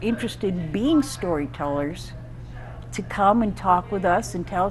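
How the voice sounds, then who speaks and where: A moderate pace in a slight upstate New York accent, with noticeable background noise. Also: woman. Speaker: storyteller. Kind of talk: interview. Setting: live show.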